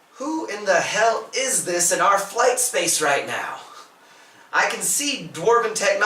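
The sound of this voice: Using a put-on character voice, a man sounds gruff at a high pitch, speaking at a moderate pace with a slight echo.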